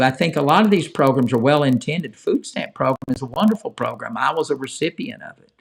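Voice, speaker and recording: A man with a fairly high pitch speaks at a fairly quick pace with lively intonation. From Appalachia (Ohio-born hillbilly). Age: old. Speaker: call-in show host. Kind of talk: live call-in talk show. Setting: live stream. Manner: casual, halting.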